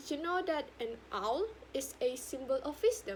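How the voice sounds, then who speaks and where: In a Sabahan accent, a woman talks with very wide pitch swings. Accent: Malaysian (Sabahan) English. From Sabah, Malaysia. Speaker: university student. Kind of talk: speech competition talk.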